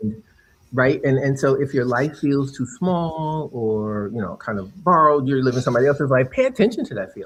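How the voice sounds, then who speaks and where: A man talks at a fairly quick pace with lively intonation. His voice is fairly high and somewhat breathy. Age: 60s. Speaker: author and former attorney. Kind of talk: casual chat. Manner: halting.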